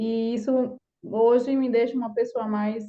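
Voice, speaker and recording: Pitched fairly high, a woman speaks at a fairly slow pace in a monotone, flat intonation. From Brazilian countryside. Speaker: course participant. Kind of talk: personal testimony.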